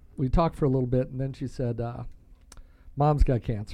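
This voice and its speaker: The voice has a dark, mellow tone. Its pitch variation is ordinary. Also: man. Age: 60s. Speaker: cancer survivor family member, military veteran and coach. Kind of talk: casual chat. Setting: studio.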